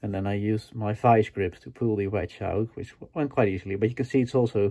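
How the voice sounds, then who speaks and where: A man speaks with a non-native accent. His pitch is fairly low and his pace moderate. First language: not English. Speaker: DIY tool restoration video maker. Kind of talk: tutorial. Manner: hesitant, many fillers.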